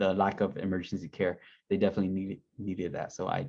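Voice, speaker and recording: A man with a fairly low pitch talks at a very fast pace. The background is quiet. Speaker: Peace Corps recruiter and returned volunteer. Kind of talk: info session presentation. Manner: casual.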